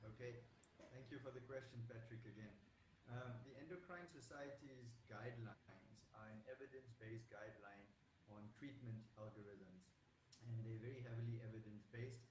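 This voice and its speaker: Audible room echo surrounds the recording. A man speaks at a medium pitch and a moderate pace with fairly even intonation. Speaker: doctor. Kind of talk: panel discussion. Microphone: quiet, hard to hear.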